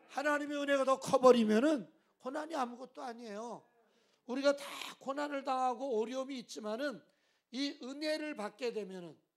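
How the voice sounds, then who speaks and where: An animated man's voice at an extremely high pitch, with ordinary pitch variation and a moderate pace. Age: 60s. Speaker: pastor. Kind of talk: sermon.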